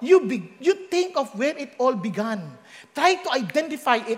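This man's pitch is extremely high, with very wide swings. He talks at a fairly slow pace. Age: middle-aged. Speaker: pastor. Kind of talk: sermon.

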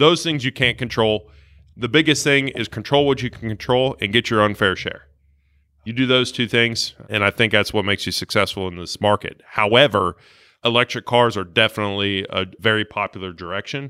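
With an American accent, a man at medium pitch speaks at a fairly quick pace in a bright, sharp tone with ordinary pitch variation, recorded very cleanly with a silent background and a dry, close sound with no echo. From Ohio, Dayton. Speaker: car dealership sales manager. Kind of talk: casual chat.

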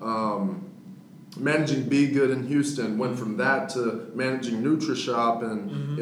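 A man with an American accent talks at a moderate pace and medium pitch with ordinary pitch variation, amid audible room echo and noticeable background noise. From Texas (Victoria, then Dallas). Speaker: entrepreneur. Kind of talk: casual interview.

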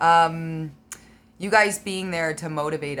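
A woman talks with a fairly low pitch and ordinary pitch variation. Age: 40s. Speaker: karate competitor. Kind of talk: casual interview.

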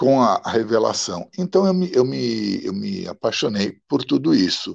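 Vocal fry runs through this man's speech. His pitch rises and falls very widely. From Milan, Italy, raised in São Paulo. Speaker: poet, radio broadcaster and translator. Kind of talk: interview conversation.

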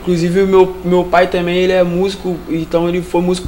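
Amid noticeable background noise, a man with a Carioca accent and a high pitch speaks at a fairly quick pace. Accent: carioca Brazilian Portuguese. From Rio de Janeiro, Vila Militar. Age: 20s. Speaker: street musician. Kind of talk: interview.

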